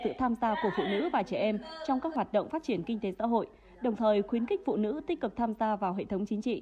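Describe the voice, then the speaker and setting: A woman speaks at a very fast pace. Her pitch sits fairly high, and her intonation is lively. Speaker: news reader. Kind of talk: news reading.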